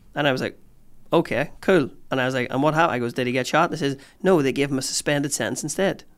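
A man with a Northern Irish accent, fairly high pitch, ordinary pitch variation, and a very fast pace, on a very clean recording with a silent background. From Northern Ireland, Newry area. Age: 30s. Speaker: comedian. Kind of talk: casual chat. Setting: studio.

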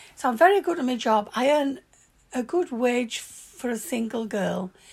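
A woman's high voice in a strong Yorkshire accent, at a fairly slow pace. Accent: broad Yorkshire. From Yorkshire, northern England. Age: 70s. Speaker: grandmother recalling her youth. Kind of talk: warm, nostalgic life-story reminiscing to her granddaughter. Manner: chatty and animated, spilling into excited asides; plainspoken and forthright, with earthy swearing.

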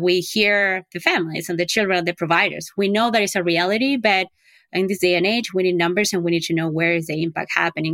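On a very clean recording with a silent background and a dry, close sound with no echo, a woman with a non-native accent speaks fairly quickly at medium pitch with ordinary pitch variation. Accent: foreign-accented English. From outside the US. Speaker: early education advocate. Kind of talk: interview.

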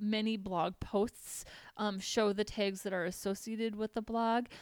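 Recorded very cleanly against a silent background, with a dry, close sound and no echo, a woman with a Minnesotan accent speaks at a fairly high pitch with fairly even intonation. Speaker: podcast host, web developer. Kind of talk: tutorial.

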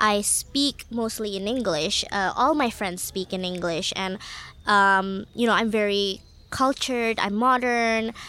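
The tone is bright and sharp, the intonation fairly even and the pace fairly slow. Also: woman. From Jakarta, Indonesia, international schools. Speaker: writer and book curator. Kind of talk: panel discussion.

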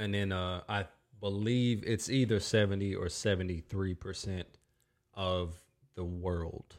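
A man with an American accent speaks at a fairly slow pace and fairly low pitch, in a very clean recording with a silent background. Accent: Southern US, somewhat shifted by Minnesota. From North Carolina. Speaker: podcast host and musician.

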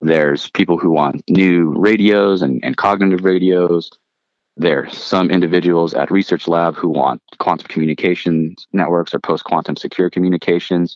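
A man's very deep, low voice holds very even loudness and fairly even intonation at a moderate pace. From Philippines, immigrated to US. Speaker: Air Force veteran and startup founder. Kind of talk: casual interview. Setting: remote call from home with jet noise.

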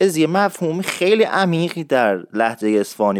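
A man speaks with very wide swings in pitch. The recording is very clean, with a silent background. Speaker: radio show host teaching Isfahani dialect. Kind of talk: tutorial. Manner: fast.

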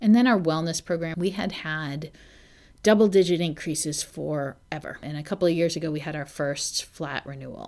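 An unremarkable speaking voice: a woman, fairly low in pitch, with ordinary pitch variation at a moderate pace. Loudness swings widely in a very clean recording with a silent background. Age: 40s. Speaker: HR executive. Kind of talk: interview.

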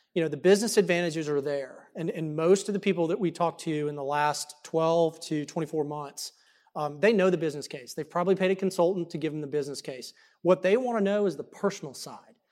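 Talking at a very fast pace, a man with a Texan accent uses a high pitch and ordinary pitch variation. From Dallas, Texas. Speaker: economic development executive. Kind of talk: panel discussion. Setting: stage with audience.

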